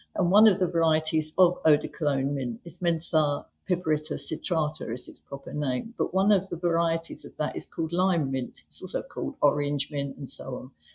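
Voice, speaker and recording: Speaking at a fairly quick pace with hardly any pauses, a woman uses a fairly low pitch and ordinary pitch variation, her voice somewhat breathy and her loudness swinging widely. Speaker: mint collector. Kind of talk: interview.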